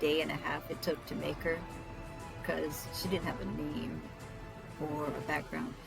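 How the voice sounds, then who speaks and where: Music plays in the background as a soft-spoken woman talks. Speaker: tabletop role-player and hobby artist. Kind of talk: casual talk while drawing.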